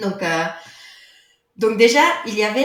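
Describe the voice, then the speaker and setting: A woman's medium-pitched voice at a moderate pace, lively intonation, and audible room echo. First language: not French (speaking French). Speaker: yoga teacher and author. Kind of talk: podcast interview.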